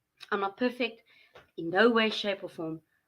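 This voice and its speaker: A woman talks loudly at a fairly slow pace, her bright, sharp tone set at a fairly high pitch with lively intonation. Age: 40s. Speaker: mental health vlogger. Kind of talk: casual monologue.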